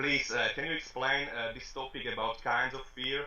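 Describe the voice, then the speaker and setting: A man speaks with a Slovak accent. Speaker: rapper and interviewer. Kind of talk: interview. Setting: video call. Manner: halting.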